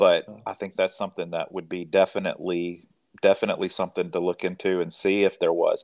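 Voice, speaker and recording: On a very clean recording with a silent background, a man with a Mississippi accent speaks at a fairly quick pace. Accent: Southern US (Mississippi). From rural Mississippi, US South. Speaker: physician. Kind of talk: interview.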